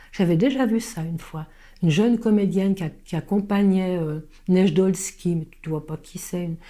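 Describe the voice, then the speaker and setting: Using a dark, mellow tone, a woman talks at a medium pitch and moderate pace with ordinary pitch variation. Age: 70s. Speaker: stage actress. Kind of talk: interview. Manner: halting.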